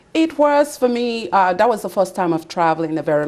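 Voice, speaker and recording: A woman speaks in a Nigerian accent at a moderate pace. Her intonation is lively. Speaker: pastor. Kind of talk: interview. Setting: TV studio.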